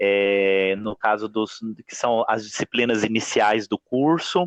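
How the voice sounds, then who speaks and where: A man's voice with ordinary pitch variation. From Minas Gerais, Brazil. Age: 20s. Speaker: music professor and singer. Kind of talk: podcast interview.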